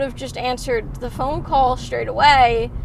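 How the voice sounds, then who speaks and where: There is audible room echo and noticeable background noise as a woman speaks at a fairly slow pace with ordinary pitch variation. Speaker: tutor and vlogger. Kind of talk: casual storytelling vlog. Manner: hesitant with fillers and repetitions.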